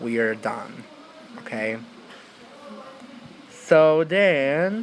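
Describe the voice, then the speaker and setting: Over noticeable background noise, a man with a non-native accent speaks with lively intonation. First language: not English. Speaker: YouTuber. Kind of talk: tutorial. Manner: casual, filler-heavy.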